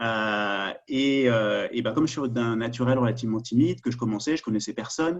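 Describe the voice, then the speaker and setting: In a Parisian accent, a man talks at a moderate pace and medium pitch, with ordinary pitch variation. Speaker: security sector governance expert. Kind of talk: webinar presentation. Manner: halting, many fillers.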